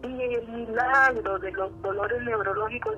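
There is noticeable background noise. Through it, a woman speaks fairly slowly. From Central America (Costa Rica / Honduras). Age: 60s. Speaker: author and psychologist. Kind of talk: testimony.

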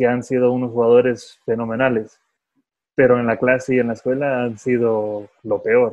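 The man speaks at medium pitch. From California, US, Salvadoran-Guatemalan parents. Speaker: professional football goalkeeper. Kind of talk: casual interview. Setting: phone call.

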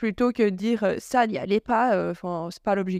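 Against a quiet background, a woman with a normal speaking voice talks at a medium pitch and a fairly quick pace, her intonation fairly even and the sound dry and close with no echo. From Belgium, Charleroi. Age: 20s. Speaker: influencer and blogger. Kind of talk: casual interview.

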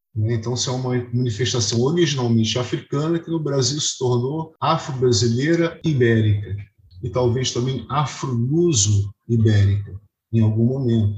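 Here is a man with a medium pitch, speaking at a moderate pace. His voice is somewhat breathy. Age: 50s. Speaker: music historian and composer. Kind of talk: interview.

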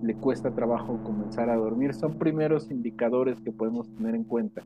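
Music plays in the background as a man speaks. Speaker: psychologist. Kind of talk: interview.

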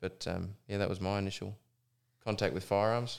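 A man with an Australian accent speaks at a fairly low pitch in a flat monotone, at a fairly quick pace. The recording is very clean with a silent background. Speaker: professional hunting guide. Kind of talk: casual chat.

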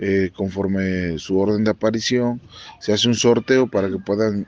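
Fairly slowly, a man talks in a fairly low voice. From Mexico, Mixteca region of Puebla. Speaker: teacher and dance tradition expert. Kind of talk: interview testimony. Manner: halting, with fillers.

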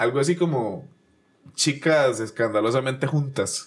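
A man with a Costa Rican accent, fairly high-pitched, with lively intonation and a fairly slow pace. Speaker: podcast host. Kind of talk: casual chat; reading aloud.

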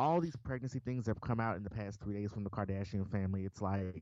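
Over a quiet background, a man talks with a Southern US accent and ordinary pitch variation. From Memphis, Tennessee. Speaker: podcast co-host. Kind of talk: casual chat.

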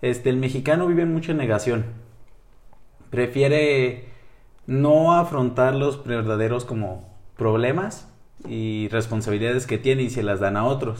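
A man speaks at medium pitch and a fairly slow pace. Long, frequent pauses break it up, and audible room echo surrounds him. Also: ordinary pitch variation. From northern Mexico, Chihuahua. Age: 20s. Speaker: psychology student and podcaster. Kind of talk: casual interview.

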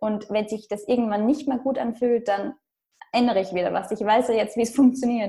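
Her tone dark and mellow, a woman speaks at a fairly quick pace and fairly high pitch with fairly even intonation. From Austria. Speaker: blogger and digital nomad. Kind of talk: interview. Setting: internet recording.

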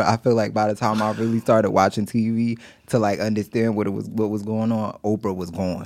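In a very clean recording with a silent background, a man with an American accent talks fairly quickly in a fairly low voice. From East Orange, New Jersey. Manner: animated, excitable.

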